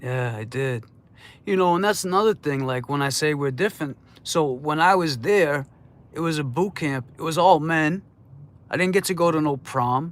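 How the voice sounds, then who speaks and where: In a very clean recording with a silent background, a man speaks at a fairly high pitch. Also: ordinary pitch variation. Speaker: livestream host. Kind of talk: casual livestream chat. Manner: slow, deliberate.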